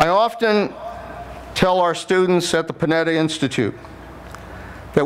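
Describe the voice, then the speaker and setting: There is noticeable background noise as a man with an American accent speaks at a high pitch. He goes at a fairly slow pace with ordinary pitch variation. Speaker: former Secretary of Defense, commencement speaker. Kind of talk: commencement speech. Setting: large ceremony hall with public address system.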